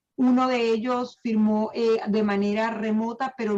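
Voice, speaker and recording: A woman's somewhat breathy, fairly high voice with a Venezuelan accent and fairly even intonation. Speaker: title agency manager. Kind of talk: online seminar presentation. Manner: hesitant, many fillers.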